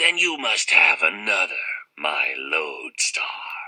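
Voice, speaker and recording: A man puts on a raspy, creaky character voice. He speaks at a fairly slow pace. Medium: read story. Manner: wheedling, indulgent.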